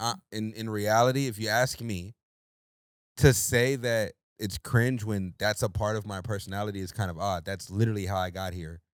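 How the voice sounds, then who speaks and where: On a very clean recording with a silent background, a man with a fairly low voice speaks at a moderate pace with ordinary pitch variation. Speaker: podcast co-host. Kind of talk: casual chat. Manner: switches voices and tone often; animated.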